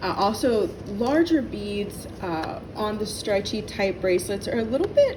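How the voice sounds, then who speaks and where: There is noticeable background noise and audible room echo. A woman speaks at medium pitch and a fairly slow pace. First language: not English. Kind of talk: tutorial. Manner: halting.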